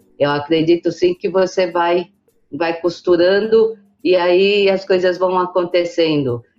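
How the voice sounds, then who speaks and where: Over background music, a woman with a fairly low pitch speaks fairly slowly with fairly even intonation. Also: very even loudness. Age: 60s. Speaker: business association president. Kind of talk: interview.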